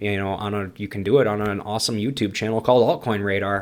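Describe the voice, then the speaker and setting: Mumbling at a very fast pace, a man talks in a fairly low pitch. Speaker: crypto YouTuber. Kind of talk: tutorial.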